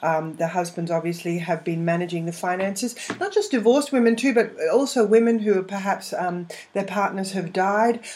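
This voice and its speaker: A woman's medium-pitched voice with noticeable background noise. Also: ordinary pitch variation, moderate pace. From England, London. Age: 50s. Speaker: money coach and former finance broker. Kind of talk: interview. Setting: live interactive internet radio show.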